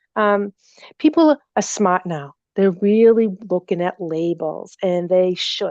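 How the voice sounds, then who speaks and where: Very slowly and with lively intonation, a woman with a Boston accent speaks at medium pitch in a dry, close sound with no echo. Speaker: natural remedy company representative. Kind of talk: seminar Q&A.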